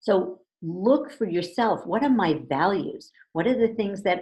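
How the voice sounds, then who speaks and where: The speaker talks at a fairly slow pace with lively intonation. The voice is somewhat breathy. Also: woman. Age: 60s. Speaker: relationship coach. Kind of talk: interview.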